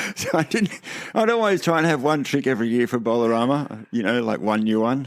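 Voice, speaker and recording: Talking at a very fast pace with lively intonation, a man with an Australian accent is heard in a very clean recording with a silent background. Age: 60s. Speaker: veteran skateboarder. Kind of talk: casual chat.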